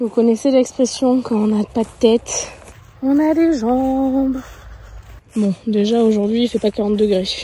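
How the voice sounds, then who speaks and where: With long, frequent pauses and a fairly slow pace, a woman speaks at a fairly high pitch with ordinary pitch variation over noticeable background noise. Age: 30s. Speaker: horse owner and rider. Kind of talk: casual vlog talk to camera.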